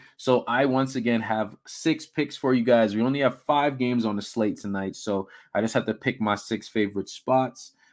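A man at a medium pitch speaks in a normal speaking voice at a moderate pace with hardly any pauses, in a very clean recording with a silent background. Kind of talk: casual sports-betting picks rundown, conversational monologue. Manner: relaxed, chatty, upbeat, with fillers and laughs; easy, stream-of-consciousness, sign-off pep.

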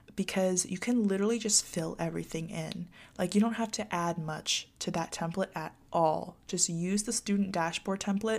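The speaker is a woman with an ordinary speaking voice and medium pitch. She keeps a moderate pace and fairly even intonation. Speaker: college student vlogger. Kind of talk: casual advice monologue to viewers. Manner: chatty with frequent fillers.

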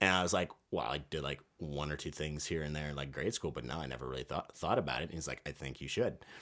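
With a very deep, low pitch and vocal fry, a man talks at a very fast pace with ordinary pitch variation and hardly any pauses. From Virginia, US. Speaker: actor. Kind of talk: casual interview. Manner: halting, many fillers.

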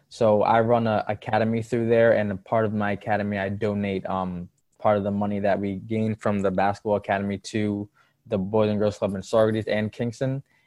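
Moving at a fairly quick pace, a man speaks in a fairly low voice with monotone, flat intonation. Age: 20s. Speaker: basketball trainer. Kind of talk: casual interview chat. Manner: mature-sounding.

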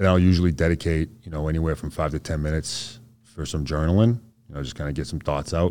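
In a very deep, low pitch and a dark, mellow tone, a man with an American accent talks at a very fast pace with fairly even intonation. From Boston area, US. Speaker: Green Beret soldier, amputee. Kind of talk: casual interview.

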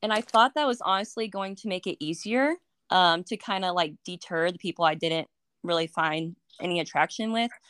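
Medium in pitch with ordinary variation, a woman talks fairly quickly in a normal speaking voice, the sound dry and close with no echo on a very clean recording with a silent background. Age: 20s. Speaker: graduate student and military member. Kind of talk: casual chat.

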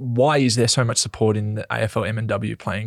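Speaking with an Australian accent, a man sounds somewhat breathy, with fairly even intonation. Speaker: podcast host and footballer. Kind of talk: casual chat.

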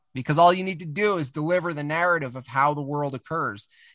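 Speaking at a fairly quick pace, a man with an American accent has a fairly high pitch, a bright, sharp tone and ordinary pitch variation. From US Northeast, Catskill Mountains of New York. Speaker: cartoonist. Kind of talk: casual chat.

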